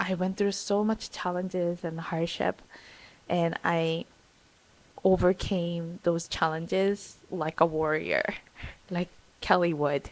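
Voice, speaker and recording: The speech comes at a very slow pace in a Korean accent, broken by long, frequent pauses. Its intonation is monotone and flat. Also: woman, fairly low pitch for a woman. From South Korea. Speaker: vlogger. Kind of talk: personal vlog talk. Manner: halting, hesitant.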